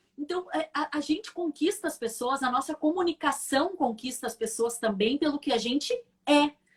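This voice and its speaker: This woman speaks with a high pitch. Her intonation is lively. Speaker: communication coach, former TV presenter. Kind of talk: live stream interview. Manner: fast.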